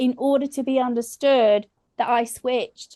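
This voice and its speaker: A woman speaks with a strong English accent. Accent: English, still strong. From England. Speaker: comedian. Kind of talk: casual chat.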